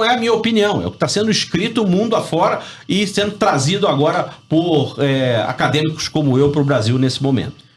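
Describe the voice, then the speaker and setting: Over noticeable background noise, a man with a Rio de Janeiro accent talks at a fairly quick pace with hardly any pauses, very even loudness and lively intonation. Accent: carioca (Rio de Janeiro). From Rio de Janeiro, Brazil. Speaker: business professor and sales consultant. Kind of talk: radio interview. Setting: radio studio.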